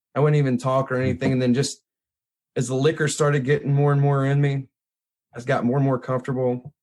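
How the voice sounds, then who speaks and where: A man with a Mississippi accent talks very fast in a medium pitch, his intonation monotone and flat. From Mississippi hill country, US South. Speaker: photographer and blues musician. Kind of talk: casual chat. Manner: casual, informal.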